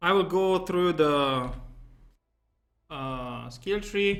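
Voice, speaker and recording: Speaking with a non-native accent, a man has a high pitch and ordinary pitch variation. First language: not English. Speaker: gaming YouTuber. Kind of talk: game build tutorial. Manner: casual with many fillers.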